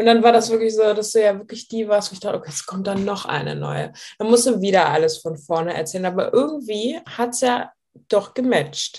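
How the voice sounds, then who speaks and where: Fairly quick and fairly high-pitched, a woman in a normal speaking voice uses lively intonation and big swings in loudness. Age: 20s. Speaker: weight loss client sharing her story. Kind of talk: interview testimony. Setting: video call.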